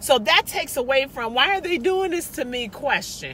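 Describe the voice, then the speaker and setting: An animated woman in a raised, projected voice at a moderate pace, with noticeable background noise. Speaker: motivational vlogger. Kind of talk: motivational monologue. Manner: loud, animated.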